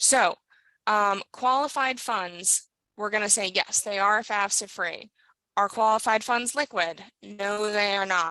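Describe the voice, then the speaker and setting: Bright and sharp, the voice moves at a fairly slow pace with ordinary pitch variation in a dry, close sound with no echo. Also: woman. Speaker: financial sales trainer. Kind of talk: online training session. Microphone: weak signal, audio cutting in and out.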